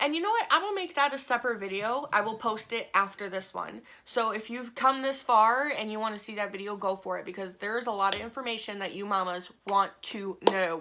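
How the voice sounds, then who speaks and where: Bright and sharp in tone, a woman with a fairly high pitch talks at a fairly quick pace, her loudness swinging widely. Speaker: vlogger, stay-at-home mom. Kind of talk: casual vlog update. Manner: fast; hesitant, many fillers.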